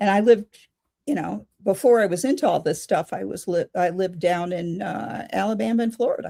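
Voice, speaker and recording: Lively intonation runs through a woman's medium-pitched voice, with some vocal fry. Her pace is moderate. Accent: American. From Chicago. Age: 70s. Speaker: pagan elder and author. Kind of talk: interview. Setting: in person, same room.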